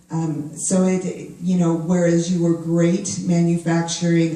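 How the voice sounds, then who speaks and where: Noticeable noise sits in the background. The delivery is fairly slow. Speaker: HR professional at a tech company. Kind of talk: panel discussion. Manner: loud.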